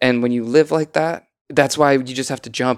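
Recorded very cleanly against a silent background, a man of medium pitch speaks at a very fast pace. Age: 30s. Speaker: entrepreneur and children's book author. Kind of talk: casual chat. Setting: studio.

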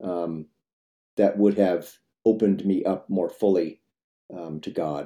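At a fairly slow pace, a man speaks in a fairly low pitch with a dark, mellow tone and ordinary pitch variation. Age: 70s. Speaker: composer. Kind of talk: interview conversation.

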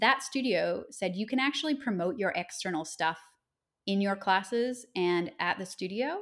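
A plain, everyday voice with a Canadian accent moves at a moderate pace with lively intonation. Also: woman, medium pitch for a woman. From Nova Scotia, Canada. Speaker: yoga teacher and podcaster. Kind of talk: casual interview conversation.

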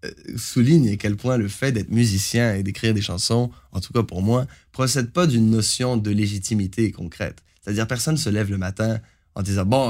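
Speaking in a Canadian French accent, a man talks at a fairly quick pace and a medium pitch. The recording is very clean and the background silent. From Franco-Ontarian Canada. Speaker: singer-songwriter. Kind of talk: interview.

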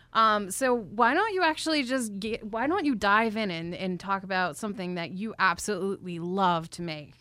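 With lively intonation, a woman talks at a medium pitch in a bright, sharp tone. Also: moderate pace, hardly any pauses. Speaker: food photojournalist. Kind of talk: interview. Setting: studio.

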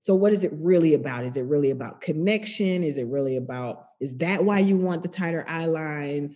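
Speaking at a fairly quick pace with hardly any pauses, a woman uses an American accent and ordinary pitch variation. Her pitch is very deep and low, with a dark, mellow tone. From US South, Macon, Georgia. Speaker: television director. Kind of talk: casual interview conversation.

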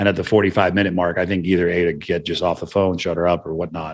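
Against a quiet background, a man talks at a very fast pace. His voice is very deep and low, with monotone, flat intonation. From California, Santa Cruz. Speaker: entrepreneur and podcast host. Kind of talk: interview conversation.

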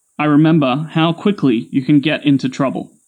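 A man with an Australian accent, fairly high in pitch, ordinary in pitch variation, at a moderate pace. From Australia, Sydney. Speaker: storyteller. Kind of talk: scripted narration.

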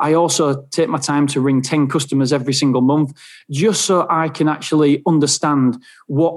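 A man with an English accent speaks at a fairly high pitch with fairly even intonation. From England. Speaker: self storage business owner. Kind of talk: interview.

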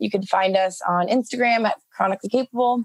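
Recorded with a dry, close sound and no echo, a woman speaks fairly quickly in a plain, everyday voice of medium pitch with fairly even intonation. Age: 20s. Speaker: startup founder and CEO. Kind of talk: interview.

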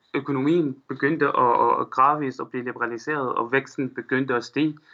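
A fairly high-pitched man with an Arabic accent. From Syria, Aleppo. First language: Arabic (speaking Danish). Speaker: Syrian refugee, student. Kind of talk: interview. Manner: halting, many fillers.

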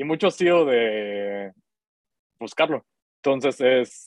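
His pitch sits in the medium range. The man talks very slowly. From Guatemala. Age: 30s. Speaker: tech startup founder. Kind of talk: interview.

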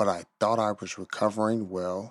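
A man with an American accent and a normal speaking voice talks at a fairly low pitch with fairly even intonation against a quiet background. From US, Chicago. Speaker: blind kayaker. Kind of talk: storytelling narration. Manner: slow, simple.

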